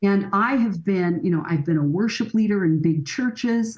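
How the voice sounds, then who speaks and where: A somewhat breathy woman's voice at medium pitch, with lively intonation. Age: 60s. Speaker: family counselor and author. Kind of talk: podcast interview.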